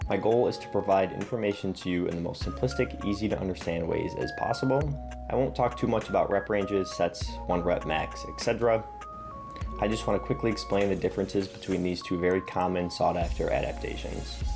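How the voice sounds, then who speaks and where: Over music in the background, a man speaks with a very deep, low pitch. His pitch swings very widely at a fairly quick pace. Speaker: fitness content creator. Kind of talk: educational fitness explainer.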